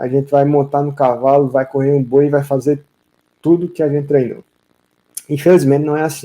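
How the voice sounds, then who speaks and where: A soft-spoken man, fairly high in pitch, with a dark, mellow tone and a moderate pace. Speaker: vaquejada coach. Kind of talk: live stream Q&A coaching. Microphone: audio too quiet for viewers.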